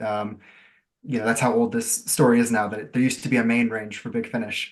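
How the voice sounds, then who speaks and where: A man with an American accent talks at a fairly quick pace. His medium-pitched voice is monotone, with flat intonation. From US, Florida. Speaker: writer. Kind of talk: interview.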